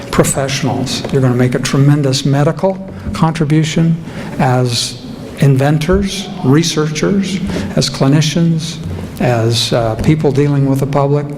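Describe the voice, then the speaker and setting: Speaking with an American accent, a man talks at a moderate pace in a fairly high pitch, with ordinary pitch variation and very even loudness. Audible room echo and noticeable background noise surround him. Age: old. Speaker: keynote speaker, former lawyer. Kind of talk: ceremony speech.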